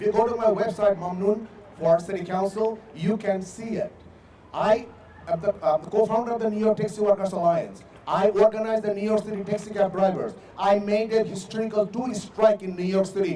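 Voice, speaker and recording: A man with a non-native accent and a high pitch speaks at a fairly quick pace, with big swings in loudness. Noticeable background noise can be heard. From immigrant to US, not native English speaker. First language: not English. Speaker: city council candidate. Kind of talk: closing statement at candidate forum. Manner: halting, many hesitations and repeats.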